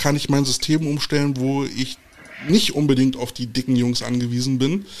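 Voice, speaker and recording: With noticeable background noise present, a man talks at a fairly high pitch. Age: 40s. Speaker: podcast host, football coach. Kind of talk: casual interview. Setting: livestream video call.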